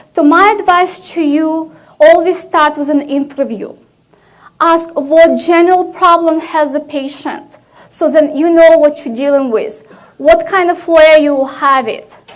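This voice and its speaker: A woman's extremely high voice with ordinary pitch variation, at a fairly slow pace, with audible room echo. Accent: Russian. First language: Russian. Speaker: physician, conference speaker. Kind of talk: conference talk.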